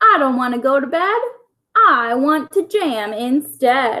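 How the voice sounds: Using a put-on character voice, a woman speaks slowly at a high pitch, with lively intonation and a bright, sharp tone.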